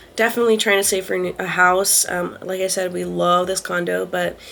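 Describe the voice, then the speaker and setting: Fairly quick speech from a woman amid noticeable background noise. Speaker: lifestyle vlogger. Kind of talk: casual vlog monologue. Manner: fast; hesitant, many fillers.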